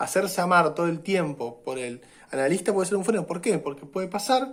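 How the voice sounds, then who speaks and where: With audible room echo, a high-pitched man talks at a fairly quick pace with lively intonation. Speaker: university lecturer. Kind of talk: lecture. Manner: hesitant fillers and repetitions.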